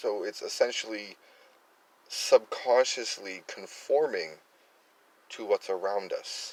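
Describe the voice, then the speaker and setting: With an American accent, a man speaks at a very slow pace with long, frequent pauses. Background noise is noticeable. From US Northeast, Worcester, Massachusetts. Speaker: political commentary YouTuber. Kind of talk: casual political commentary monologue. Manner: halting, many fillers and repetitions.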